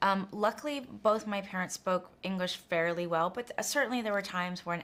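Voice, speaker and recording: This is an ordinary speaking voice from a woman. Her pitch is fairly low, with ordinary variation. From United States, Korean immigrant family. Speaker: film director. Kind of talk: interview.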